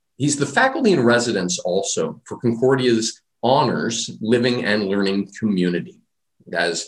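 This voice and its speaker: Speaking fairly slowly with lively intonation, a man has a medium pitch and an unremarkable speaking voice. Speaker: professor and conference moderator. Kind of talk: formal conference introduction. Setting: virtual conference.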